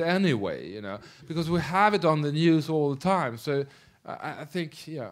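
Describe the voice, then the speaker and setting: A man with a Swedish accent, fairly high in pitch, at a moderate pace against a quiet background. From Sweden. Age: middle-aged. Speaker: film director. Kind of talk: Q&A after a screening. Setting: stage with audience. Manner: halting. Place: hall.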